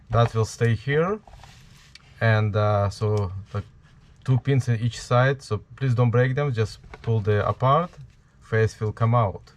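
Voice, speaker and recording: A man with a strong Ukrainian accent speaks very slowly, with long, frequent pauses. His pitch is medium, with ordinary variation. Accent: heavy Ukrainian. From Ukraine. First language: Ukrainian or Russian. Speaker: DIY Halloween prop maker. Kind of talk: tutorial. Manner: halting, many fillers.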